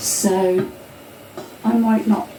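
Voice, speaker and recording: A woman at medium pitch against noticeable background noise. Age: 60s. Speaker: home cook video host. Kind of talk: cooking tutorial. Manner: casual, halting.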